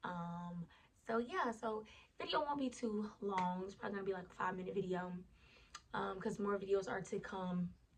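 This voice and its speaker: Somewhat breathy, a woman with an American accent talks at medium pitch and a moderate pace. Her pitch varies in an ordinary way while her loudness swings widely. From US South, Lake Charles, Louisiana. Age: 20s. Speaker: vlogger. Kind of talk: casual vlog chat. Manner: casual, conversational.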